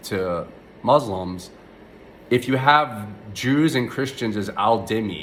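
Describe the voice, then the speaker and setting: A man's mumbling at a medium pitch, very slow, with long, frequent pauses and lively intonation. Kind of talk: casual rant to camera. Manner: mumbly, hesitant with many filler words.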